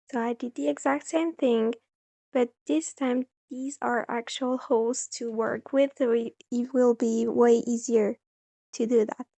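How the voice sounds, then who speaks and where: A woman with a non-native accent speaks at a fairly slow pace in a high voice. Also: ordinary pitch variation. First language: not English. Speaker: crochet youtuber. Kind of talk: tutorial.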